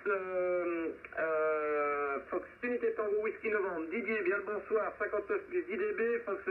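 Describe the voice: Speaking at a moderate pace, a man has a high pitch with ordinary pitch variation.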